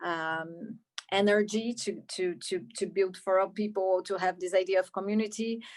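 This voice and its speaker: Against a quiet background, a woman with a Brazilian Portuguese accent speaks fairly slowly at a medium pitch in a monotone, flat intonation. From Brazil, Rio de Janeiro. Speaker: film director. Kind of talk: Q&A interview. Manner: halting, many repetitions.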